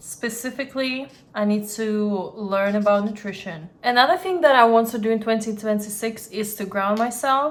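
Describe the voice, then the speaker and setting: She speaks at a moderate pace with a non-native accent, her fairly high pitch showing ordinary variation while her loudness swings widely. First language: not English. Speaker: lifestyle vlogger. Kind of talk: casual vlog monologue.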